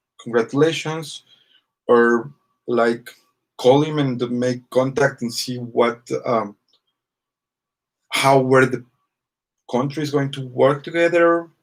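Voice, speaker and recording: A very slow pace with long, frequent pauses, fairly even intonation and a Spanish accent. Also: man, medium pitch for a man. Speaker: vlogger. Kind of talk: casual monologue to camera. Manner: halting, many fillers.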